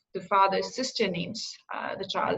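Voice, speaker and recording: In an Indian accent, a woman speaks at a medium pitch. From India, Agra. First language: Hindi. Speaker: career coach. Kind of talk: interview. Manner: hesitant, many fillers.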